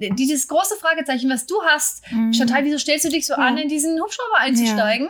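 Over noticeable background noise, a high-pitched woman speaks at a fairly quick pace with lively intonation and hardly any pauses. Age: 40s. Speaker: podcast host. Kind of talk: casual chat. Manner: fast when anxious.

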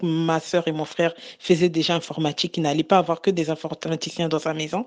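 This woman talks at a moderate pace. Her intonation is flat and monotone. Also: quiet background. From Republic of the Congo. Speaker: transport coordinator. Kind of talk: group discussion.

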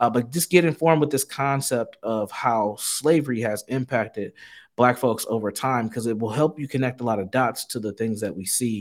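Over a silent background in a very clean recording, a man with an American accent speaks at a moderate pace with ordinary pitch variation. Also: medium pitch for a man. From US Midwest, Saint Paul, Minnesota. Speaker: mental health executive and psychotherapist. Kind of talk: interview on a podcast. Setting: on a university campus, large halls.

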